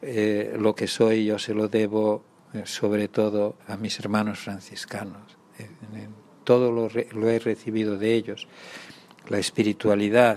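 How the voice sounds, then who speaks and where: A man's fairly low-pitched voice, fairly slow in pace and monotone, with flat intonation. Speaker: retired archbishop, Franciscan friar. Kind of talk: interview. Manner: halting.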